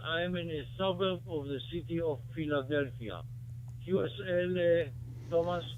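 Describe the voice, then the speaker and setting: A man talks in a fairly high voice with ordinary pitch variation. There is audible room echo. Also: moderate pace. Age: 80s+. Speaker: ham radio operator. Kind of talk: casual chat. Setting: radio contact. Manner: formal.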